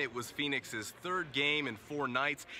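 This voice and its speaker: A man's fairly high voice with ordinary pitch variation over noticeable background noise. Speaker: sports broadcaster. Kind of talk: sports broadcast, stand-up and studio commentary.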